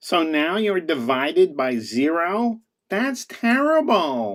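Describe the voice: A cartoonish character voice sits at a middle pitch with very wide pitch swings. The pace is fairly slow.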